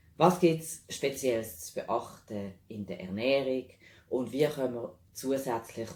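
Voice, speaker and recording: A man with a Swiss accent speaks at a medium pitch and a fairly slow pace. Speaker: animal health practitioner specialising in nutrition. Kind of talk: informational talk to camera.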